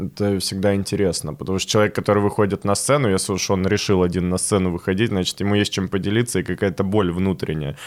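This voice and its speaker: This man talks at a fairly quick pace with fairly low pitch and an unremarkable speaking voice. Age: 20s. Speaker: stand-up comedian. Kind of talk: casual interview.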